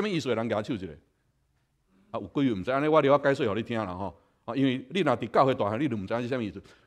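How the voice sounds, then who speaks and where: Talking at a very fast pace, a man swings his pitch very widely against a quiet background. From Taiwan. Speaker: pastor. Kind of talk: sermon. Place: church.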